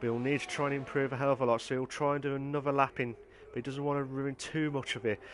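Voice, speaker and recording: With an English Midlands accent, a man talks at a very fast pace with hardly any pauses. His intonation is monotone and flat. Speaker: sim racing league host and commentator. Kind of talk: live commentary. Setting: live stream. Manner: halting, with many fillers.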